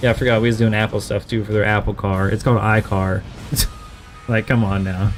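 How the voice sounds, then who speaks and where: With music playing in the background, a man with an American accent speaks at a moderate pace. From West Virginia (Huntington). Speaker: gaming streamer. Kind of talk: casual chat.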